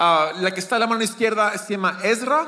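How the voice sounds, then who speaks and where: Over noticeable background noise, a man uses a raised, projected voice at a moderate pace with ordinary pitch variation. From Peru, Lima. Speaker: guest preacher. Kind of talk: sermon. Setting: church. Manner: halting.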